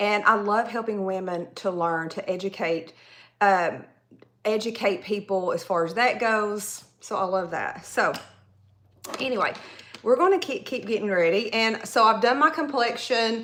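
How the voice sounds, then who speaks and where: A woman with a Southern accent talks at a moderate pace. Her pitch is fairly high, with ordinary variation. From Tennessee, US South. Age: 40s. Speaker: makeup artist and hairstylist. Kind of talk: live makeup tutorial. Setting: livestream. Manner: casual, chatty.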